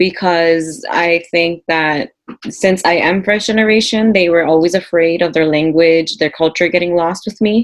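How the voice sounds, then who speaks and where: A woman with an American accent and a plain, everyday voice speaks at a moderate pace with fairly low pitch, ordinary pitch variation and very even loudness. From US, Peruvian parents. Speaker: panel guest. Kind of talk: casual chat.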